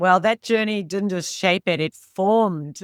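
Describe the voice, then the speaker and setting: In a very clean recording with a silent background, a woman speaks at a fairly slow pace with an Australian accent. The sound is dry and close with no echo, and her intonation is fairly even. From rural Australia. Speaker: leadership coach and author. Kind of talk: interview podcast.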